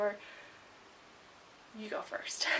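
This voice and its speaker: A woman's moderately paced speech amid noticeable background noise. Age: 20s. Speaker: beauty vlogger. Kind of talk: casual vlog. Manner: animated.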